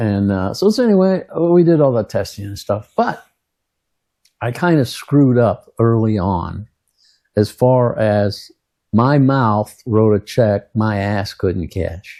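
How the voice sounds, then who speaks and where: A dark, mellow tone with lively intonation at a very slow pace, in a very clean recording with a silent background. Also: man, medium pitch for a man. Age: 70s. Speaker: Vietnam war veteran. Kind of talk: casual storytelling monologue. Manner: rambling with many fillers and hesitations.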